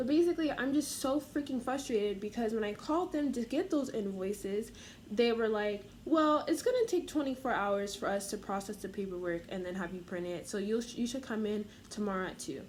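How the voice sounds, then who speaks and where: Lively intonation carries this speech along at a fairly quick pace. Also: woman, fairly high pitch for a woman. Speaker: vlogger. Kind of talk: rant. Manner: fast; animated.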